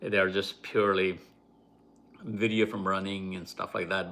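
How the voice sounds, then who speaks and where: Fairly low in pitch, a man speaks at a moderate pace with a bright, sharp tone and monotone, flat intonation. The recording is very clean, with a silent background. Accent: non-native. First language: not English. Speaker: YouTuber. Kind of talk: live stream talk. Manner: halting.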